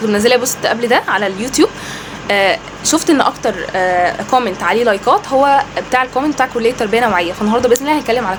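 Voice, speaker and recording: A woman talks at a very fast pace. Noticeable background noise runs behind her. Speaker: educational YouTuber. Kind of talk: informational vlog.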